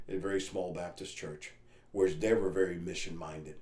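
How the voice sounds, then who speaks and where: A man's very deep, low voice in a Spanish accent, with audible room echo. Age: 50s. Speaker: missionary. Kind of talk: interview testimony. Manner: loud.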